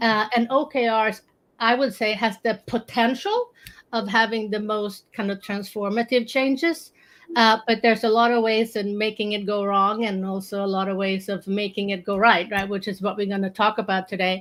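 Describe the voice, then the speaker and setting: With a Swedish accent, a woman speaks at a moderate pace and fairly high pitch. Her intonation stays fairly even. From Sweden. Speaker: strategy consultant. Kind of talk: casual panel discussion.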